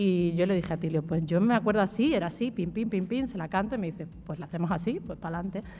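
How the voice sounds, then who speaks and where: A woman in an Extremaduran accent speaks very fast with hardly any pauses. Her voice is medium in pitch, dark, mellow and somewhat breathy, with ordinary pitch variation. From Extremadura, Spain. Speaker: singer and writer. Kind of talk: radio interview. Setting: live show with audience.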